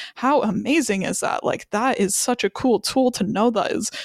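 In a normal speaking voice, a woman talks at a moderate pace with a fairly high pitch and ordinary pitch variation, the sound dry and close with no echo. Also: very clean recording, silent background. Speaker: podcast co-host. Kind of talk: casual chat. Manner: chatty, talkative.

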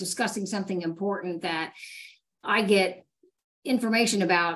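A woman with an ordinary speaking voice talks at a medium pitch with ordinary pitch variation. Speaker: fire battalion chief and PIO. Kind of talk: panel discussion. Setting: video call.

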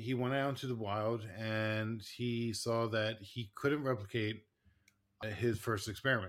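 This very clean recording has a silent background. A man speaks at medium pitch with monotone, flat intonation and a fairly slow pace. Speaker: podcast host, licensed clinical social worker. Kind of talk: casual chat podcast. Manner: halting, filler-heavy, laughs often.

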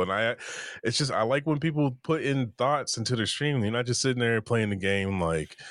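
With a plain, everyday voice, a man talks fairly quickly at medium pitch with lively intonation. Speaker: podcast host and content creator. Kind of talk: casual interview chat.

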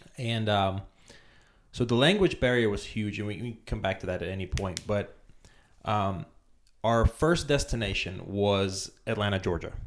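Speaking with a Romanian accent, a man uses a fairly low pitch and ordinary pitch variation at a moderate pace with long, frequent pauses, in a very clean recording with a silent background. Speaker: immigrant business guest. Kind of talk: casual interview.

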